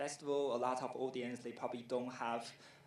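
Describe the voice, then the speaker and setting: Audible room echo colors this recording. The man's voice sits at a medium pitch. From Taiwan. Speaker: film festival director. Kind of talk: conference presentation. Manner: hesitant, many fillers.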